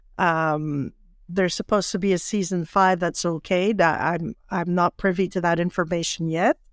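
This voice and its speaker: Here is a woman with an ordinary speaking voice, fairly low in pitch, moving at a moderate pace with fairly even intonation and very even loudness. The sound is dry and close with no echo, in a very clean recording with a silent background. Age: 60s. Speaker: actress and playwright. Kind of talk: casual interview.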